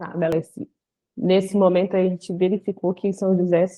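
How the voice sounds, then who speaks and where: Medium-pitched speech from a woman at a moderate pace. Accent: Pará. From Brazil, Belém do Pará. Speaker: lawyer. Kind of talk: casual chat.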